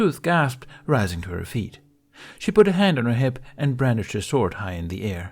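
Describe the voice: The clip is simply plain reading aloud.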